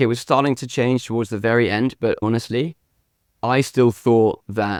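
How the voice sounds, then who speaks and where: In a British accent, a speaker talks at a moderate pace with fairly even intonation on a very clean recording with a silent background. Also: man, dry, close sound with no echo. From UK. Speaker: meditation app founder. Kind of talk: interview. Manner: casual, filler-heavy.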